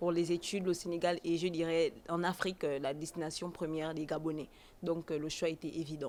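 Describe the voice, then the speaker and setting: A woman talks at a fairly quick pace, her pitch fairly low. Her intonation is monotone and flat. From Gabon. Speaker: foreign student. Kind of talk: interview. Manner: halting.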